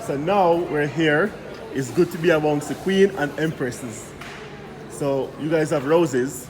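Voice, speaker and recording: Speaking at a fairly slow pace in a Jamaican accent, a man with a fairly high voice sounds animated, using ordinary pitch variation amid audible room echo and noticeable background noise. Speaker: travel vlogger. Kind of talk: casual vlog. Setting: supermarket.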